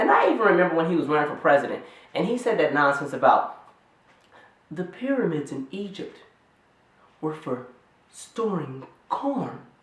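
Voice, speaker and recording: The delivery is animated, broken by long, frequent pauses. Noticeable background noise can be heard. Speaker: YouTube commentator. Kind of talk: casual commentary vlog. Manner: fast.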